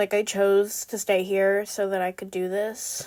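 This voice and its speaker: A woman with an American accent at a medium pitch. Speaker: beginner art content creator. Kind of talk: casual vlog narration while drawing. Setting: at home desk. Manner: chatty, lots of fillers.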